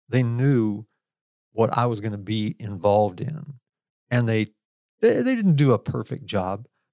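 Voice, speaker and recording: An unremarkable speaking voice from a man, fairly slow, with ordinary pitch variation, in a very clean recording with a silent background and a dry, close sound with no echo. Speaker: co-host, special forces veteran. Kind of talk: interview conversation.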